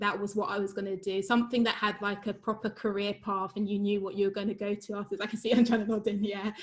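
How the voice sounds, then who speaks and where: A woman with a London accent speaks at a medium pitch. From London, England (Wembley). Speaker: university lecturer in geoscience. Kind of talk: informal talk in an online webinar.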